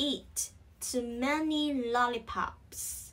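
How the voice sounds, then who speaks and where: A high-pitched woman with a Vietnamese accent speaks at a very slow pace, keeping her intonation fairly even. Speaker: English pronunciation teacher. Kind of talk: tutorial. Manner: slow, repetitive drilling.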